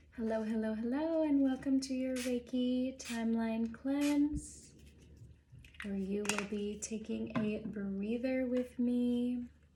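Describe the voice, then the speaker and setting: A soft-spoken, high-pitched woman at a very slow pace, her intonation fairly even, with noticeable background noise. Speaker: Reiki practitioner. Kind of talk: oracle card reading talk.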